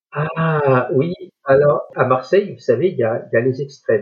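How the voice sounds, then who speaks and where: A man at a moderate pace. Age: 60s. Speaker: retired blind guide dog user. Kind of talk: interview conversation.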